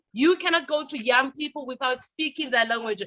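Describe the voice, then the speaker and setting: A raised, projected voice with ordinary pitch variation and an energetic delivery. The tone is bright and sharp, and the sound is dry and close with no echo. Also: woman. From South Africa. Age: young. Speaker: youth leader and radio personality. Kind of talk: conference presentation. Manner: loud.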